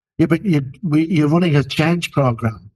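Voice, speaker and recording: A man speaks at a fairly quick pace in an unremarkable speaking voice. His pitch is fairly high, with ordinary variation. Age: 60s. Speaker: leadership expert, podcast co-host. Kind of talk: casual discussion.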